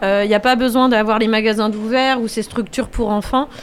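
Music plays in the background as a woman with a fairly high pitch speaks at a moderate pace. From France, Angers. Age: 30s. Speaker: children's educator and event business owner. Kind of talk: radio interview.

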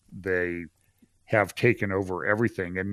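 Bright, sharp male voice with a dry, close sound, no echo, on a very clean recording with a silent background. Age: 60s. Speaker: pastor and trial lawyer. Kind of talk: casual chat.

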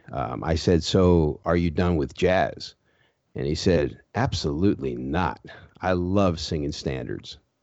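Very deep and low, a man's voice shows ordinary pitch variation. He speaks at a fairly slow pace. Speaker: interviewer, magazine publisher. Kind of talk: casual interview.

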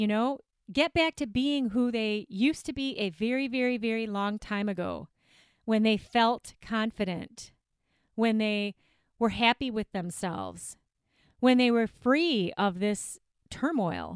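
A woman's animated, fairly high voice with an American accent, fairly slow pace and ordinary pitch variation, in a very clean recording with a silent background and a dry, close sound with no echo. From not the US South. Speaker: weight loss coach and podcast host. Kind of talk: solo podcast monologue.

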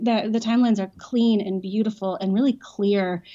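A woman with a plain, everyday voice talks at a medium pitch with ordinary pitch variation. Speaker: ministry leader. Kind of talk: casual interview.

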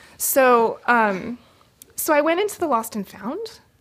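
A woman speaks with a West Coast accent at a high pitch. Her pitch swings very widely. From California, San Francisco Bay Area. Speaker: storyteller. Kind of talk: personal storytelling. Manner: halting, with frequent fillers.

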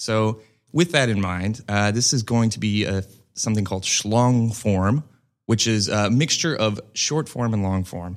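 On a very clean recording with a silent background, a man with an unremarkable speaking voice speaks at a fairly slow pace, his pitch fairly low with ordinary variation. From US Midwest, rural Missouri. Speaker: improv comedian and actor. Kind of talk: casual chat.

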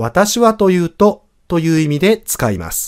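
A man's voice swings very widely in pitch, captured dry and close with no echo on a very clean recording with a silent background. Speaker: French teacher. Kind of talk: language lesson podcast.

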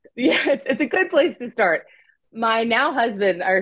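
A woman with an American accent, vocal fry and very wide pitch swings. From US, California and Pennsylvania. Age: 30s. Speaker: adoptive mother and former church creative director. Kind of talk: interview testimony.

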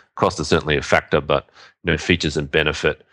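A man's voice with vocal fry, delivered at a very fast pace. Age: 30s. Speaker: podcast co-host, SEO marketer. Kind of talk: casual chat.

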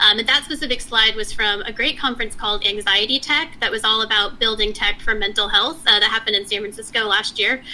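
With an American accent, the speaker rushes at a very fast pace with hardly any pauses and ordinary pitch variation over noticeable background noise. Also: woman, fairly high pitch for a woman. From Texas. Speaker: software engineering leader and founder. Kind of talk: interview. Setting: remote call.

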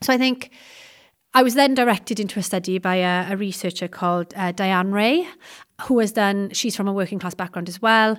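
Recorded very cleanly against a silent background, a woman with a South Welsh accent speaks at a medium pitch with ordinary pitch variation. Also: fairly quick pace. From South Wales. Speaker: secondary history teacher and researcher. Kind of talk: interview about education research.

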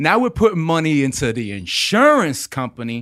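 On a very clean recording with a silent background, a man with an American accent speaks in an ordinary speaking voice. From Florida. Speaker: podcast co-host. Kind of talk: casual chat.

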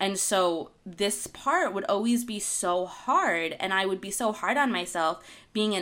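Against noticeable background noise, a woman with an American accent speaks at medium pitch with ordinary pitch variation. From Argentina-born, raised in the US from infancy. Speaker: podcast co-host, wellness author. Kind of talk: casual chat. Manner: giggly, laughs often.

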